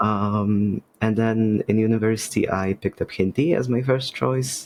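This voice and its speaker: In a Polish accent, a man speaks with a fairly low pitch and fairly even intonation, the sound dry and close with no echo. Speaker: podcast guest, game designer. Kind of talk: casual chat. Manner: halting.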